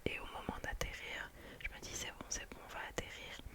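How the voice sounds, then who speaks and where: A woman whispers. Noticeable background noise can be heard. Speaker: ASMR creator. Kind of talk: ASMR storytime, casual chatty anecdote. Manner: whispered, soft, relaxing.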